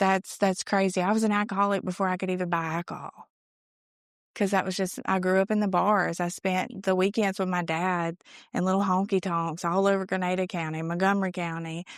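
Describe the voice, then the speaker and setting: This woman talks at a fairly quick pace and a medium pitch. Her intonation is monotone and flat. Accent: Mississippi. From Mississippi, US South. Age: 20s. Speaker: recovery speaker. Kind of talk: testimony.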